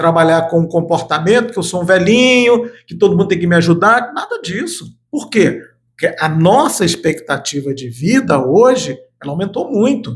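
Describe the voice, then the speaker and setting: This man has a high-pitched voice and lively intonation. He speaks at a moderate pace. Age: 60s. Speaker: lawyer, studio guest analyst. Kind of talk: interview, informal talk-show conversation.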